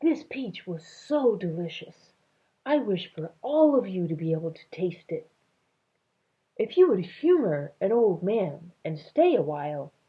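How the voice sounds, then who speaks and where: Putting on a creaky character voice, a woman speaks at a fairly slow pace at a medium pitch with very wide pitch swings. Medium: read story.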